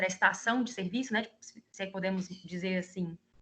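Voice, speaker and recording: A woman with a medium pitch keeps her intonation fairly even. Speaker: guest lecturer, service designer. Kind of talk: online class lecture. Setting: video call.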